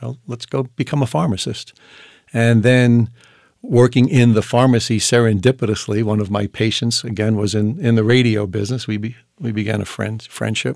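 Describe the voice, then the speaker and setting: In a very clean recording with a silent background, a man with a normal speaking voice talks at a moderate pace and fairly even intonation. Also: medium pitch for a man. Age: 60s. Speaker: entrepreneur and former pharmacist. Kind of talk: casual interview conversation.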